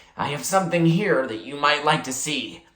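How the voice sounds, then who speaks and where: In a put-on character voice, the speaker growls out gravelly words at a low-to-middle pitch and a moderate pace. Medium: read story. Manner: formal, restrained.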